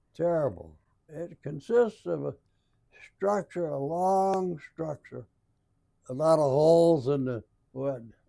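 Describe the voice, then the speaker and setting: A man with an American accent has a fairly high pitch and a dark, mellow tone. He speaks at a very slow pace with long, frequent pauses and lively intonation. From Alton, Illinois. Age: 80s+. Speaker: WWII veteran, former prisoner of war. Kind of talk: interview answer.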